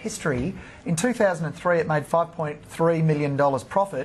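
You hear a male speaker. An Australian accent colors his speech. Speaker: fund manager. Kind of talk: TV interview, stock analysis. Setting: TV studio. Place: studio. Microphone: lapel.

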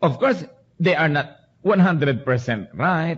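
A man speaks at a moderate pace with lively intonation in an ordinary speaking voice. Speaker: preacher / pastor. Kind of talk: sermon preaching to a congregation. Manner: earnest, conversational.

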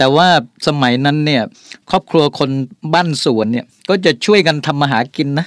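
A man's unremarkable speaking voice, fairly high in pitch with ordinary pitch variation, in a very clean recording with a silent background. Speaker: business CEO. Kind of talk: radio interview. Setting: radio studio.

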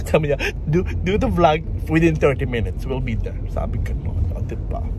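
With noticeable background noise and a dry sound with no echo, a man talks at a very fast pace. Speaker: travel vlogger. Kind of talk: casual vlog chat. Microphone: phone near.

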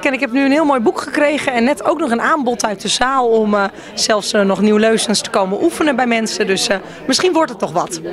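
A woman talks at a fairly quick pace with lively intonation. The sound is dry with no echo, over light background noise. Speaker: guest at book launch. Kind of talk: interview answer. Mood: friendly, pleased. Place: hall. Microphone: handheld.

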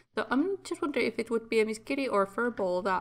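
Her pitch fairly high, a woman talks with a Finnish accent. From Finland. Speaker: gaming YouTuber. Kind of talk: let's play commentary. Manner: halting.

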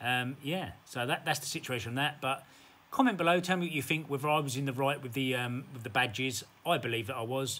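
A man with a bright, sharp tone speaks at a fairly quick pace with ordinary pitch variation. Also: medium pitch for a man. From England, West Midlands (Sandwell). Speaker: eBay reseller vlogger. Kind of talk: heated face-to-face argument with another buyer at a car boot sale, filmed on camera. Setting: outdoors at a car boot fair. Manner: defensive and bristling, trading clipped retorts, repeating himself; stammering and rattled, then casual vlog sign-off. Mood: defensive, self-assured. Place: home room. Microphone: phone near.

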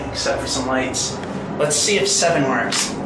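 Against loud background noise and an audible room echo, a man speaks at a fairly slow pace with ordinary pitch variation. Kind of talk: casual commentary. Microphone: phone near.

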